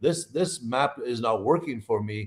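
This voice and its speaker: An animated man talks with an Irish accent at a medium pitch, his intonation lively. The recording is very clean, with a silent background. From Ireland. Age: 60s. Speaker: nutritionist and herbalist. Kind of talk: interview on a live podcast.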